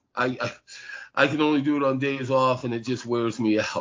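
A man talks at a moderate pace. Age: 50s. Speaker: tabletop game player and book writer. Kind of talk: casual chat. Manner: halting, repeats words.

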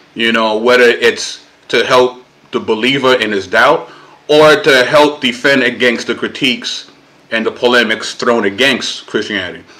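Speaking in a New York accent, a man uses a medium pitch with ordinary pitch variation at a moderate pace. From Brooklyn, New York (Puerto Rican family). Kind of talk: casual interview conversation.

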